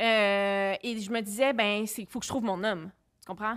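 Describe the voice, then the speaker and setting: Speaking at a moderate pace, a woman uses a normal speaking voice pitched fairly high. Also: quiet background. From Quebec City; Quebec. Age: 30s. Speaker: film director; podcast guest. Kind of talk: casual chat. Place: studio. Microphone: studio mic.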